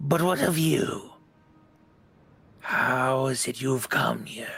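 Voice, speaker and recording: A man puts on a raspy character voice at a medium pitch, speaking at a very slow pace. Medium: actual play. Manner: menacing, condescending.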